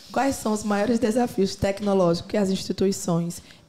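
This woman speaks at a medium pitch. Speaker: podcast interviewer. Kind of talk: casual chat; interview. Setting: studio, wearing headphones.

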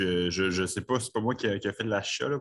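A man talks in a plain, everyday voice. His pitch is fairly low, with ordinary pitch variation. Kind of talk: online meeting discussion.

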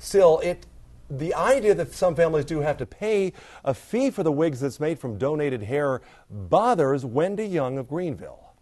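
Against a quiet background, a man speaks at a moderate pace. His tone is dark and mellow, with lively intonation. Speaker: TV news reporter. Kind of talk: news report. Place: studio.

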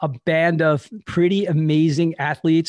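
A man with an American accent speaks in a flat monotone at a fairly high pitch. The sound is dry with no echo, and the background is quiet. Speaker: podcast host. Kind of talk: podcast interview talk. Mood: upbeat, friendly. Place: home room. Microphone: studio mic.

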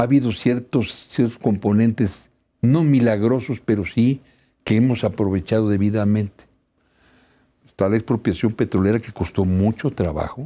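A man's voice sits at medium pitch with a dark, mellow tone. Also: ordinary pitch variation, moderate pace. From Mexico. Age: 70s. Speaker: labor law expert; law professor guest. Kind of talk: TV interview. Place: studio. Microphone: lapel.

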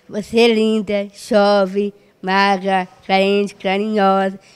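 A woman at a medium pitch, very slow and monotone, with flat intonation. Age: 30s. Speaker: special school student with Down syndrome; interviewee. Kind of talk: interview. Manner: halting. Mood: earnest, a bit sad. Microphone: handheld.

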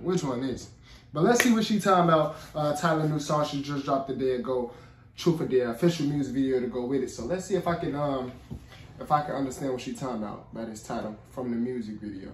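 A man at a very fast pace, with audible room echo and light background noise. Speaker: reaction youtuber. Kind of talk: casual vlog chat. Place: home room.

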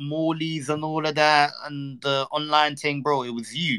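Fairly high male voice in a London accent. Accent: London multicultural English. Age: 20s. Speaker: streamer. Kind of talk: casual chat. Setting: online live stream.

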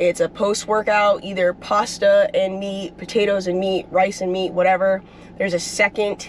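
A woman's voice comes through dry, with no echo and light background noise. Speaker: athlete vlogger. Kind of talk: casual vlog chat. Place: car. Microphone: phone near.

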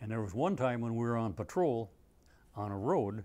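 At a fairly quick pace, a man talks with a dark, mellow tone and ordinary pitch variation. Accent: Upper Midwest. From Minnesota. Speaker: Vietnam war veteran, former Navy corpsman. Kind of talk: oral history interview, veteran recounting combat memories in plain unadorned anecdotes. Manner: halting, with frequent uh fillers and self-corrections; plainspoken and understated, dry matter-of-fact delivery of grim events. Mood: calm, reflective storytelling. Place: studio. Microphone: lapel.

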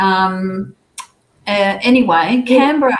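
A somewhat breathy woman talks with lively intonation. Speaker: speaker. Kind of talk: presentation talk. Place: home room.

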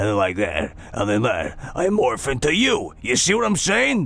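Putting on a character voice, a man speaks in a raspy, fairly high pitch at a moderate pace. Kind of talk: character voice acting outtake. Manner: morphing gradually between two voices.

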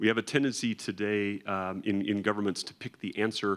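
Here is a man with a plain, everyday voice and a fairly low pitch. He talks at a fairly quick pace against a quiet background. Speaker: guest. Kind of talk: interview answer. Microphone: handheld.

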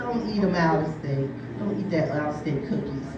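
With audible room echo and clear background noise, a woman speaks in a low voice at a moderate pace with lively intonation.

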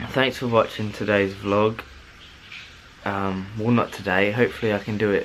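Against light background noise, the speaker talks with monotone, flat intonation. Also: man, fairly low pitch for a man, moderate pace. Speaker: vlogger. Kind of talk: casual vlog chat. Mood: happy, then self-critical. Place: home room. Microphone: phone near.

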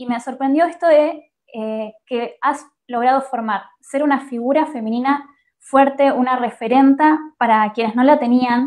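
In an Argentine accent, a woman speaks at a high pitch with fairly even intonation against a quiet background. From Argentina. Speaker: radio journalist. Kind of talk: interview. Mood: warm, moved. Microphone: webcam.

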